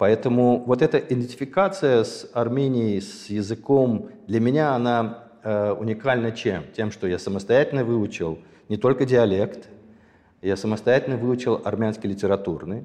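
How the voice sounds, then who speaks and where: At a moderate pace, a man talks in a dark, mellow tone at medium pitch with ordinary pitch variation. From Azerbaijan (Sumgait), Armenian family. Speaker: ballet impresario. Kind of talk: casual interview chat.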